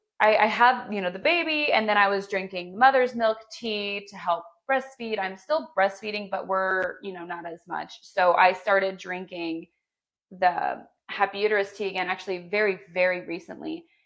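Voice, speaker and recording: A woman of medium pitch speaks at a moderate pace with ordinary pitch variation and big swings in loudness. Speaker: podcast co-host and small business owner. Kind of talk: casual chat.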